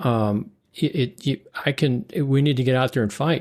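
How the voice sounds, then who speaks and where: The voice belongs to a man with medium pitch and ordinary pitch variation. It comes through in a very clean recording over a silent background. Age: 60s. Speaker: political candidate and podcaster. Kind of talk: casual interview conversation. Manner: animated.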